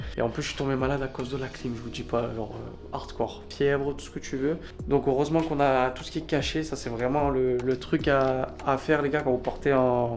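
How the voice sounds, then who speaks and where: With audible room echo, a man delivers his words at a fairly quick pace in a monotone, flat intonation. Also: medium pitch for a man. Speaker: travel vlogger. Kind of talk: travel vlog. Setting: outdoors in desert. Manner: quiet speech.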